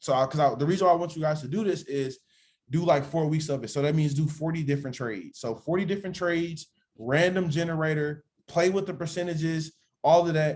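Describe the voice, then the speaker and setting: At a very fast pace, a man speaks in a fairly high pitch with ordinary pitch variation. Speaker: trading mentor. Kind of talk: online class. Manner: casual.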